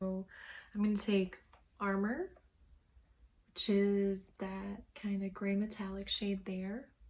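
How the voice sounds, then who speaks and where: The speech comes very slowly and somewhat breathy, broken by long, frequent pauses, with monotone, flat intonation. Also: woman, medium pitch for a woman. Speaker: makeup tutorial creator. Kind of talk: casual makeup tutorial talk to camera. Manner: casual, friendly.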